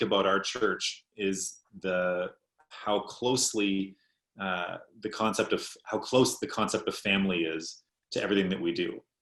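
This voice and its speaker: A plain, everyday voice with a Canadian accent, speaking at a moderate pace. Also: man. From Canada, Ontario. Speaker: pastor. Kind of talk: panel discussion.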